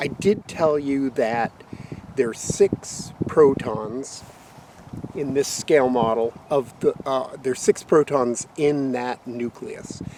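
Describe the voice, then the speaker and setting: Noticeable background noise sits under a dry sound with no echo as the speaker goes at a very slow pace with ordinary pitch variation. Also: man, medium pitch for a man. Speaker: science teacher. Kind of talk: outdoor lesson. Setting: outdoors. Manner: halting. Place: open country. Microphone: phone near.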